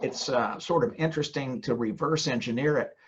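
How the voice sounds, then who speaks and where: A man with a fairly high voice and an American accent. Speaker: ghostwriter and former trial lawyer. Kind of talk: podcast interview. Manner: halting, with repetitions.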